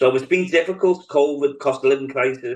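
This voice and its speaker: In a Liverpool accent, a man talks fairly quickly with fairly even intonation. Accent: Scouse. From Liverpool, England. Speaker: politician. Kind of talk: interview. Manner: hesitant, many fillers.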